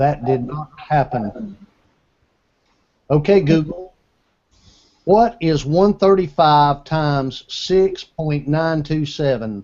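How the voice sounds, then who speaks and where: Using an American accent, a man with a fairly high pitch talks at a very slow pace, with lively intonation and long, frequent pauses. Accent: Southern US, self-described redneck. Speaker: tech show host and gadget reviewer. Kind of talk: casual panel chat with product review. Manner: casual, conversational.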